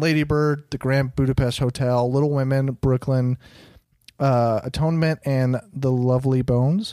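In a very clean recording with a silent background, a man with an ordinary speaking voice talks at a moderate pace, fairly high in pitch, with very even loudness and ordinary pitch variation. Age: 20s. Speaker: podcast host, movie reviewer. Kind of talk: casual chat.

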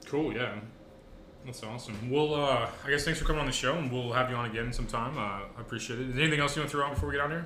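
A man at a medium pitch and very fast pace, with ordinary pitch variation amid noticeable background noise. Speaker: podcast host. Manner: fast talker, gets hyped up; casual, joking.

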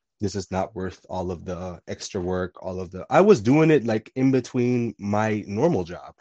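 A man with a plain, everyday voice speaks at a moderate pace with lively intonation and hardly any pauses. His loudness swings widely. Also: fairly low pitch for a man. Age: 20s. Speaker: podcast guest. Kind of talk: casual chat.

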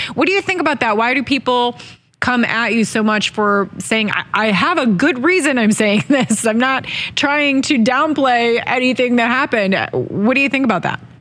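Noticeable background noise runs under a woman speaking at a high pitch and a moderate pace. Her intonation is lively and her loudness very even. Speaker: interviewer. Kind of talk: interview.

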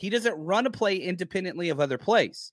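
A man with an American accent speaks at a high pitch and moderate pace, with lively intonation. The recording is very clean with a silent background and a dry, close sound with no echo. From Dallas, Texas. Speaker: football podcaster and analyst. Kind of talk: casual sports discussion.

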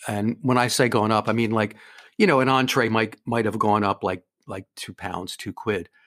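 A man with a normal speaking voice and medium pitch talks at a moderate pace with fairly even intonation. The sound is dry and close, with no echo. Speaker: debt adviser. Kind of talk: casual interview chat. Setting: remote call across time zones.

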